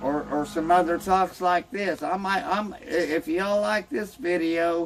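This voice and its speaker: A man with an American accent speaks in a high voice. Noticeable background noise runs behind him. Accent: Southern hillbilly drawl. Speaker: homebrewing channel host. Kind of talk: casual self-introduction to camera. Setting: outdoors on a boat dock. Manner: rambling, halting with repeated words.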